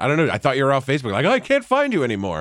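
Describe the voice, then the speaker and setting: Vocal fry runs through the voice on a very clean recording with a silent background. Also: man. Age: 30s. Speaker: podcast producer. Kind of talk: casual chat.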